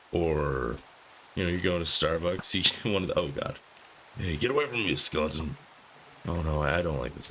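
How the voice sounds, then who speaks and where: Noticeable background noise behind a man's very deep, low voice at a moderate pace. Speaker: gaming youtuber. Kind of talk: casual gameplay commentary. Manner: rambling, hesitant.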